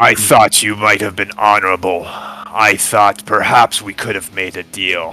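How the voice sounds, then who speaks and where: Over music in the background, a booming put-on character voice moves at a fairly slow pace in a flat monotone. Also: man. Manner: disappointed, scolding.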